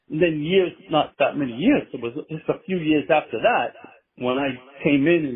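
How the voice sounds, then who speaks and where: In an ordinary speaking voice, a man talks at a moderate pace with lively intonation and a fairly high pitch. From Massachusetts. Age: 60s. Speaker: band manager. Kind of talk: interview.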